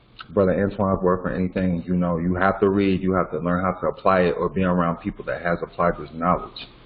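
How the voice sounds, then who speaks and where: Noticeable background noise sits under a man speaking very fast. His pitch is very deep and low, his intonation monotone and flat. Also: hardly any pauses. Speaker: legal education teacher. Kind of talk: online class lecture.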